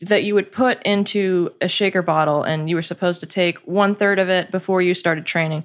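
Speaking at a fairly quick pace with a General American accent, a woman keeps a medium pitch, fairly even intonation and very even loudness against a quiet background. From US, Korean-American. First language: Korean.

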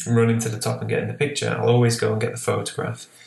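Here a man speaks with a Lancashire accent. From northwest England, Lancashire. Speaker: landscape photographer. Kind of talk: interview.

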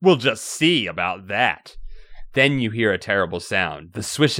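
This is an unforced reading voice. It carries the words along.

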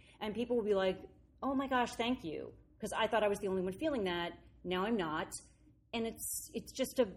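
A woman with a plain, everyday voice, medium in pitch, with ordinary pitch variation and a fairly quick pace. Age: 50s. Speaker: actress and comedian. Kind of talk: casual interview. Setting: rehearsal studio.

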